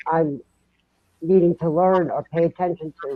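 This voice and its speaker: The speaker talks at a moderate pace with a Massachusetts accent. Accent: Massachusetts, still noticeable. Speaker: paranormal podcast guest. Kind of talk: casual chat.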